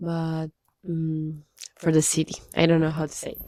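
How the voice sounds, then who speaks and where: The tone is dark and mellow. The speaker has a Spanish accent. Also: woman. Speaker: language-learning vlogger. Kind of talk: casual video diary. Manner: halting, hesitant.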